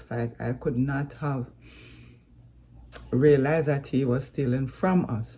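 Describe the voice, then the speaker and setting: A woman with a Jamaican accent speaks at a very slow pace, her dark, mellow tone marked by vocal fry. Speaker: vlogger. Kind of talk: vlog update.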